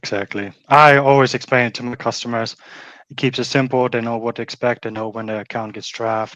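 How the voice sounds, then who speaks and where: In a German accent, a man speaks at a medium pitch and a fairly quick pace with monotone, flat intonation. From Germany. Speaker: pet waste removal business owner. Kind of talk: interview.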